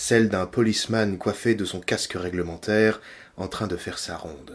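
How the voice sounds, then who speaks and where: Over a silent background in a very clean recording, a man talks at a fairly low pitch. He keeps a moderate pace with ordinary pitch variation. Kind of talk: audiobook reading of a novel chapter. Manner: relaxing, ASMR-style.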